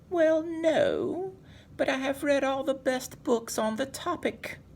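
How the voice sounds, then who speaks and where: A put-on character voice speaks at a high pitch and a fairly slow pace. Background noise is clearly audible. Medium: read story.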